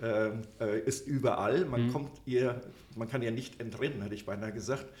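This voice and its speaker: A man's voice sits at a medium pitch, somewhat breathy, with fairly even intonation. He goes at a fairly slow pace, and the room echo is audible. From Upper Hesse, Germany. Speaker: trade magazine publisher. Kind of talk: interview. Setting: hotel recording room. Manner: hesitant, many fillers.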